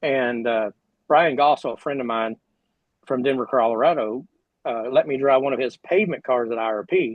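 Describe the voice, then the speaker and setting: A man speaks with an American accent at a medium pitch. His pitch variation is ordinary. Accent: drawl. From Oklahoma. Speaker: retired sprint car driver. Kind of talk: casual interview chat.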